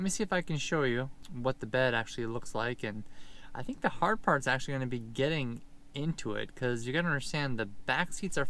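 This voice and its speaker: Bright and sharp in tone, a man speaks at a moderate pace with ordinary pitch variation and a dry sound with no echo. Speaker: road trip vlogger. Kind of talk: casual vlog chat. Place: car. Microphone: phone near.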